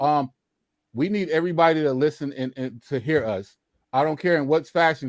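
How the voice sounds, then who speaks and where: A man's animated, fairly high voice at a fairly quick pace, with ordinary pitch variation, in a very clean recording with a silent background. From US South (Louisiana/Mississippi). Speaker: panel guest, chess teacher. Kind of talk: panel discussion on live stream. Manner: animated, repetitive.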